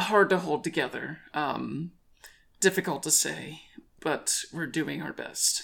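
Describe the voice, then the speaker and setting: Putting on a character voice, a woman speaks at a fairly slow pace in a raspy, very deep, low pitch, with long, frequent pauses. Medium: actual play. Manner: speaks of itself as plural we.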